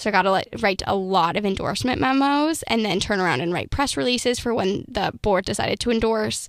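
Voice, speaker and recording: A woman with an American accent talks at a medium pitch, her intonation lively, in an unremarkable speaking voice. The recording is very clean, with a silent background. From Minnesota. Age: 20s. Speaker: student founder of a political consulting firm. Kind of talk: interview.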